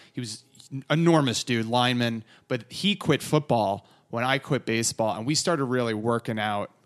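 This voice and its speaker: In a dry, close sound with no echo, a man with an ordinary speaking voice talks at a moderate pace and medium pitch, with ordinary pitch variation. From northern New Jersey. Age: 30s. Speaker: comedian and podcaster. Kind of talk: casual chat.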